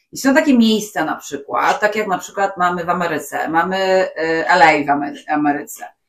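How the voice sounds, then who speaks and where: This woman has an unremarkable speaking voice with fairly low pitch. She talks at a fairly quick pace. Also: lively intonation. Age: 40s. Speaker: podcast co-host. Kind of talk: casual chat.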